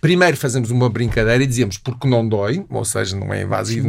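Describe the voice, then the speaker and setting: A man talks at a fairly quick pace. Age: 60s. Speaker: nutritionist. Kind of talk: interview.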